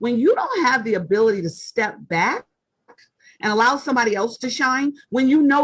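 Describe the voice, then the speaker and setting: A woman's fairly high, loud voice moves through very wide pitch swings at a moderate pace. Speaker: author and leadership writer. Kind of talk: interview conversation.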